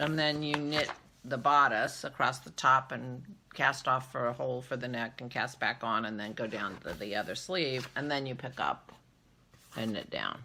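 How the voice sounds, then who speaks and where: A soft-spoken woman has a very deep, low pitch and a bright, sharp tone. She talks at a moderate pace with lively intonation. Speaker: knitting vlogger. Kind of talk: casual vlog monologue. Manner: quiet, soft-spoken; hesitant, filler words.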